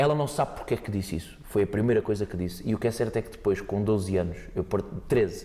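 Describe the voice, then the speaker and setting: Speaking at a very fast pace with hardly any pauses, a man has a dark, mellow, somewhat breathy tone and ordinary pitch variation. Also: fairly low pitch for a man. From Portugal, Montijo area. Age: 20s. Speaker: fado singer. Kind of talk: podcast interview. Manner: hesitant, repeats words.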